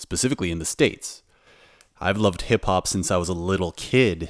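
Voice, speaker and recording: In a Canadian accent, a man speaks with a very deep, low pitch and ordinary pitch variation, the sound dry and close with no echo. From Canada. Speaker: podcast host, DJ and music producer. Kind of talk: casual solo podcast monologue. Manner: halting, many fillers and repeats.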